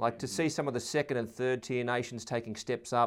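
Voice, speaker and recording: A man with an Australian accent speaks at a moderate pace and a medium pitch, on a very clean recording with a silent background. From Sydney, Australia. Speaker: rugby podcast co-host. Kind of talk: casual sports chat.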